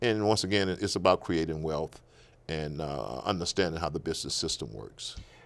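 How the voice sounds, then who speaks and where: A man's very deep, low voice with vocal fry, lively intonation and an American accent, on a very clean recording with a silent background. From Natchez, Mississippi. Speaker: political candidate. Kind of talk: interview answer.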